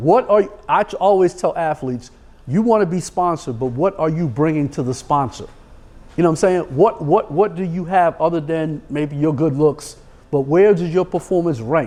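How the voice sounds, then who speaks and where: A man with a New York accent, fairly high in pitch, with a dark, mellow tone at a moderate pace. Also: ordinary pitch variation. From New York City. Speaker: sports agent. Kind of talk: podcast interview.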